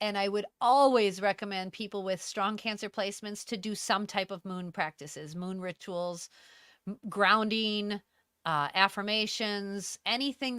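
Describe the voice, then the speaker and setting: In a very clean recording with a silent background and a dry, close sound with no echo, a woman speaks at a fairly slow pace in a bright, sharp tone. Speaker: astrologer. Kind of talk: live stream chat. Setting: live video stream. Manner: talkative.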